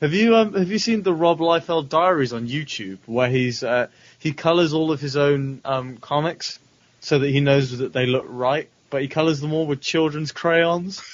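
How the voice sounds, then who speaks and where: A man with a fairly high pitch speaks in a British accent. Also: ordinary pitch variation, moderate pace. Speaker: podcaster. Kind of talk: casual chat.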